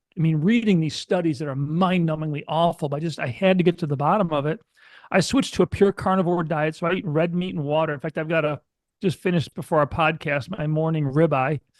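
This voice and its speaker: With an American accent, the speaker goes at a very fast pace with ordinary pitch variation, recorded with a dry, close sound and no echo. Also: man, fairly high pitch for a man. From US West Coast, California. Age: 60s. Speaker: company CEO. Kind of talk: interview conversation. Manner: animated.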